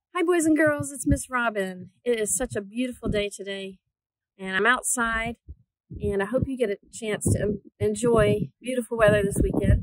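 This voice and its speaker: A woman's voice, dry with no echo, amid noticeable background noise. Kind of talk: casual talk to children. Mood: cheerful, warm. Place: open country. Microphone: phone near.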